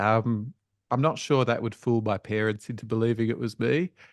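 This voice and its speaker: Recorded in a dry, close sound with no echo and a quiet background, a man talks at a medium pitch with ordinary pitch variation. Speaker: education researcher. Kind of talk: webinar presentation. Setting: online webinar. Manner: casual, conversational.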